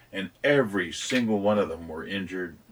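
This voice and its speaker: A man speaks at a moderate pace, his intonation fairly even, with noticeable noise in the background. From San Antonio, Texas. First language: Spanish. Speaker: business owner. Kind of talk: casual chat.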